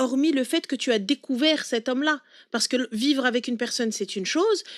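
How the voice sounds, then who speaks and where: A woman talks fairly quickly, high-pitched and with lively intonation. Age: 30s. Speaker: live stream host giving advice to callers. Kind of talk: live call-in advice chat. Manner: fast, interrupting.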